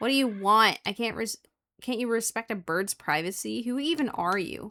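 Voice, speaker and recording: A woman uses a squeaky, put-on character voice at a fairly high pitch and a moderate pace. The recording is very clean, with a silent background. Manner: indignant.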